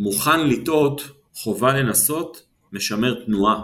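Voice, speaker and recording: Amid audible room echo, a man of medium pitch talks at a very slow pace with vocal fry and ordinary pitch variation. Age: 50s. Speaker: business coach and retired army officer. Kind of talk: interview.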